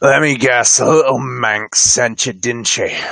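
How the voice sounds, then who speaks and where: In a put-on character voice, a man growls in a gruff, raspy tone at medium pitch, keeping a fairly slow pace and fairly even intonation. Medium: actual play. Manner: gruff, growling.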